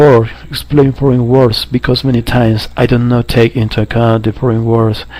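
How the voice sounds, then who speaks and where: Against noticeable background noise, a man of medium pitch speaks at a moderate pace with monotone, flat intonation. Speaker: English language student. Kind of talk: spoken assignment answers. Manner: halting with fillers.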